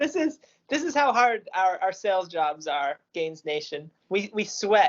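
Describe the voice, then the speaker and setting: The pitch swings very widely. The pace stays moderate. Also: woman. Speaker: podcast co-host. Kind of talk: casual chat.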